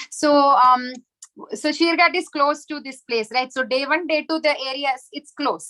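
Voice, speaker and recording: A woman speaks at a moderate pace in a high, raised, projected voice with a bright, sharp tone. Her pitch varies in an ordinary way while her loudness swings widely. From South India, Chennai. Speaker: spiritual teacher. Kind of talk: lecture with virtual pilgrimage tour.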